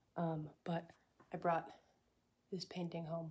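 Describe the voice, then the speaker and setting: The voice is somewhat breathy and moves at a moderate pace with monotone, flat intonation. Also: woman. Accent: American. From Texas. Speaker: artist vlogger. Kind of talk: casual vlog talk. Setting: at home.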